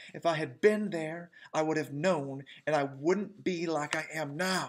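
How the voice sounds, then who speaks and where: A man puts on a strained character voice, pitched fairly high and spoken at a fairly slow pace with fairly even intonation. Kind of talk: rural dialect.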